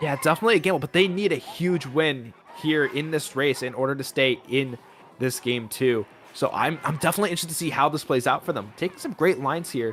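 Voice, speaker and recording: The pace is very fast, with ordinary pitch variation. Noticeable background noise can be heard. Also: man, fairly high pitch for a man. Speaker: esports caster. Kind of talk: live commentary. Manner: fast, stumbling over words.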